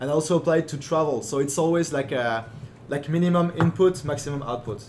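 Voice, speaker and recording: Noticeable background noise sits behind a man talking at a very fast pace. His pitch is fairly high, with ordinary pitch variation. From born in Germany. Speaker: entrepreneur and growth hacker. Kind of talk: podcast interview. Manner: halting, many fillers.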